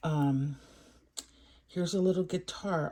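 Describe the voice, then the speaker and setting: Quiet and somewhat breathy, a woman speaks in a fairly low voice with a dark, mellow tone. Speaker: toy unboxing youtuber. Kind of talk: toy unboxing review. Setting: at home. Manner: quiet, muted.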